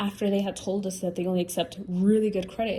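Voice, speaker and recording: A somewhat breathy woman with a Spanish accent, a dark, mellow tone, medium pitch, fairly even intonation and a moderate pace. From Latin America. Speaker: podcast host. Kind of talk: casual chat. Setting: at home talking to camera. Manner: conversational, free-flowing.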